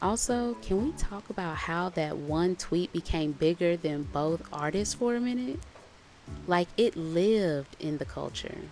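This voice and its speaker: Soft-spoken woman with lively intonation at a fairly slow pace, music in the background. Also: fairly low pitch for a woman. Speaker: storyteller. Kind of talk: sleep story.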